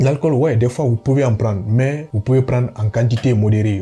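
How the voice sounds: A man's dark, mellow tone at medium pitch, moving at a fairly quick pace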